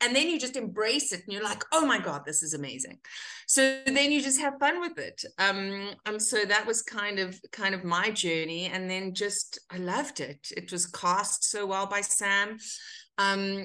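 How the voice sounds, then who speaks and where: A woman with lively intonation at a moderate pace, with music in the background. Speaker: actor guest. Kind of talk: interview answer. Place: home room. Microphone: webcam.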